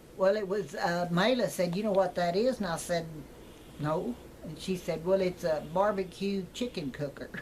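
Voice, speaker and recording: Speaking in a West Texas accent, a woman keeps a moderate pace, with medium pitch and ordinary pitch variation. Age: 80s+. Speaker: retired teacher. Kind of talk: casual chat.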